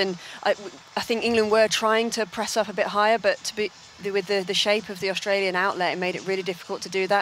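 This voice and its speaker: Amid noticeable background noise, a woman at medium pitch talks fairly quickly in a monotone, flat way. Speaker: former international hockey player, TV pundit. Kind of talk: TV sport analysis.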